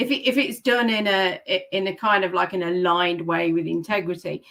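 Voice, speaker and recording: A woman talks with a British accent at a moderate pace. Her pitch is medium, with ordinary pitch variation. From English Midlands, Leicester. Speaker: author and book mentor. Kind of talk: interview.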